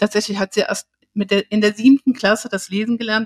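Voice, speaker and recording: In a dry, close sound with no echo, a woman talks at a fairly quick pace with a medium pitch and a somewhat breathy quality. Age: 60s. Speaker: learning therapist. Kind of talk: interview. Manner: halting.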